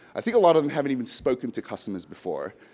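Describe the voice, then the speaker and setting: This man talks very fast. He has an Australian accent. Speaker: software product presenter. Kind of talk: business presentation.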